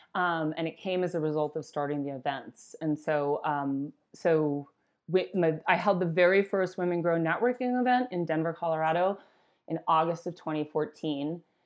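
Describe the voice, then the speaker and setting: This is an ordinary speaking voice: a woman with an American accent and a fairly low pitch. She keeps a moderate pace with ordinary pitch variation. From Wisconsin, US Midwest. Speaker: cannabis entrepreneur and brand CEO. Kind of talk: interview.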